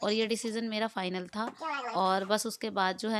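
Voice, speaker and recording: A woman speaks at a moderate pace in a fairly high pitch, her intonation fairly even, with noticeable background noise behind her. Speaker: vlogger. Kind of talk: casual vlog narration. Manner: chatty, conversational.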